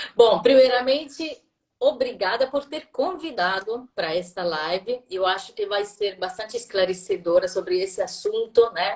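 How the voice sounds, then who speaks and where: A woman is speaking here. Her pitch is fairly high and her pace fairly slow. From southern Italy, Puglia. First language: Italian (speaking Portuguese). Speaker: language school director. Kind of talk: live interview. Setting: online live stream.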